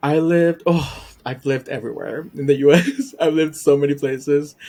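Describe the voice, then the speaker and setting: A dark, mellow tone carries fairly even intonation. The pace is fairly quick. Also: man, fairly high pitch for a man. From Puerto Rico. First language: Spanish. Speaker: YouTube reaction creator. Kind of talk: casual podcast interview.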